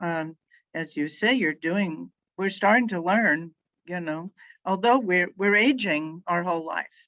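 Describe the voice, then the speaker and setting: A woman with a fairly low pitch speaks at a fairly slow pace in an American accent. Hers is an ordinary speaking voice with ordinary pitch variation. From Northern California. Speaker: nonprofit healthcare foundation leader. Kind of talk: interview.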